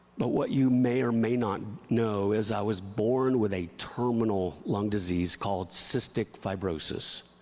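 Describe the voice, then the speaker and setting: Over noticeable background noise and audible room echo, a man with a fairly low pitch speaks at a fairly slow pace, with ordinary pitch variation and very even loudness. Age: 40s. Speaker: pastor. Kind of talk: sermon. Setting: church. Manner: animated.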